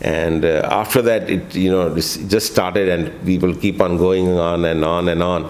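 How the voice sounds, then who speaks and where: A man with a very deep, low voice speaks at a moderate pace in fairly even intonation, hardly pausing, and the room echo is audible. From India (Kanpur, then Delhi). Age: 60s. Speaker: travel vlogger. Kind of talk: interview. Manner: halting with many fillers.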